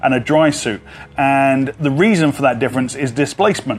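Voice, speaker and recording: There is light background noise behind the voice. A man speaks at a fairly quick pace. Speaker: dive instructor. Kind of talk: tutorial. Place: garden.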